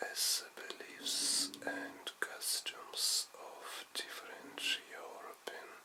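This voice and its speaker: Very slow whispering in a gentle tone, with hardly any pauses, over noticeable background noise. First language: non-native English speaker. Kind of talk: ASMR sleep story. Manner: soft-spoken, gentle.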